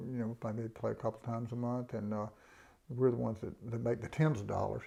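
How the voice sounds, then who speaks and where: Against a quiet background, a man with a Southern US accent speaks at medium pitch in a dark, mellow tone. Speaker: bluegrass musician. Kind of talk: casual interview. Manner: halting.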